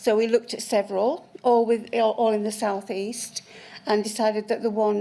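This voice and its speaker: A woman's fairly high voice, monotone and flat in intonation, against noticeable background noise. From South Yorkshire, Barnsley. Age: 60s. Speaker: witness at a public inquiry. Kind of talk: witness testimony.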